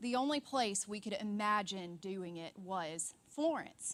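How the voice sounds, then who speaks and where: Lively in intonation, a woman with a Deep South accent speaks at a very slow pace. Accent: Southern US, deep South. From US South, Alabama. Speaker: church ministry worker, conference speaker. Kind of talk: conference talk.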